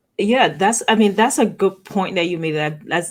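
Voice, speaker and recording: With an Antiguan accent, a woman speaks with ordinary pitch variation. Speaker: talk show host. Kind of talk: interview.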